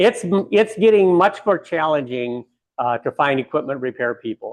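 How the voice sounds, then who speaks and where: Fairly high, very widely swinging pitch from a man speaking at a medium pace. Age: 60s. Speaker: bakery owner. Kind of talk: guided tour.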